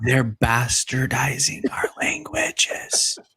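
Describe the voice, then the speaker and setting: A raspy, whispered put-on character voice at a very slow pace. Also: man. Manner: whispering.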